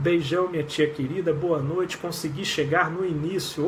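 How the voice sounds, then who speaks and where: A man with a fairly high pitch speaks at a fairly slow pace and fairly even intonation. Audible room echo surrounds his voice. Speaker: clinical psychologist. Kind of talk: live stream chat. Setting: live video stream.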